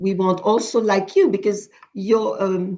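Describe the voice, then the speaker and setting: Very slow speech from a woman, medium in pitch. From Haiti. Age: 70s. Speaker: charity founder. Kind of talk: video call presentation. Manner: halting, many repetitions.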